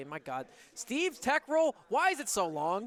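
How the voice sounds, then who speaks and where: A man speaks loudly in an animated tone with very wide pitch swings. The sound is dry and close, with no echo. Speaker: esports commentator. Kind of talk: live commentary.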